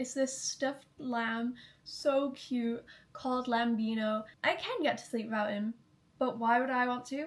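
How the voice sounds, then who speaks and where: Against noticeable background noise, a woman with an American accent and a high pitch speaks at a fairly slow pace with fairly even intonation. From Manchester, England. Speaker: YouTuber. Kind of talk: casual vlog chat.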